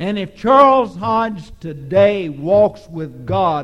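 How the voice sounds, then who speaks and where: A man with a Texan accent speaks at a very slow pace and a high pitch. Noticeable noise sits in the background. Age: 60s. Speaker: preacher. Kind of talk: sermon. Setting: church.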